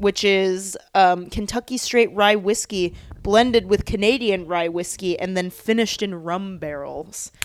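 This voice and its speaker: Speaking in an unremarkable speaking voice, a woman goes at a fairly slow pace with hardly any pauses, a medium pitch and fairly even intonation. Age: 20s. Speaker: podcast co-host, TV editor. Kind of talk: casual chat.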